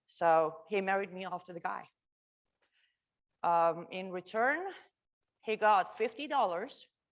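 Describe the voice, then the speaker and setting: With an Iranian accent, a woman speaks in an animated tone at a fairly slow pace, with long, frequent pauses and big swings in loudness. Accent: Iranian (Persian) accent in English. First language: Farsi. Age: 30s. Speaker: refugee speaker sharing life story. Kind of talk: testimony talk to a live audience. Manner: conversational, animated.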